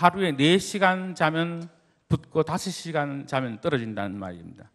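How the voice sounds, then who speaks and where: The quiet background frames a man's fairly high voice. His pitch swings very widely. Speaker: church deacon, business owner. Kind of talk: church testimony talk. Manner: formal.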